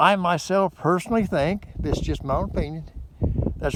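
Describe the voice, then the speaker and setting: Noticeable background noise sits behind a man speaking at a high pitch. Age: 60s. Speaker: motorcycle vlogger. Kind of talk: casual vlog review. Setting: outdoors by a frozen lake. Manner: rambling, repetitive hesitant delivery.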